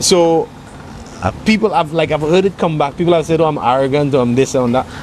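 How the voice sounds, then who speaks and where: The voice moves at a fairly quick pace with very even loudness and ordinary pitch variation. Background noise is noticeable. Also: man, fairly high pitch for a man. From Saint Lucia. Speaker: singer-songwriter. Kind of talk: interview answer.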